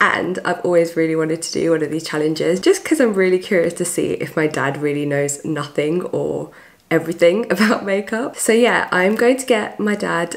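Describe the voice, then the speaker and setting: A woman speaks at a medium pitch with lively intonation. Noticeable background noise runs behind her. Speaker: beauty YouTuber. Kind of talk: casual talk to camera.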